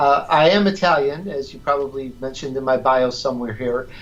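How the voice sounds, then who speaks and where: A fairly high-pitched man's voice with an American accent, at a fairly quick pace. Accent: slight Chicago accent at times. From Chicago. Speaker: radio host, sales professional. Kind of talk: podcast interview.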